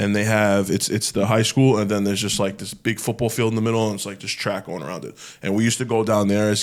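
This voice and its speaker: With a Brooklyn accent, a man talks at a fairly quick pace. His pitch is fairly low. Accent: New York (Brooklyn). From New York, Brooklyn. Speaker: clothing brand founder. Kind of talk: casual chat. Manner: loud; animated.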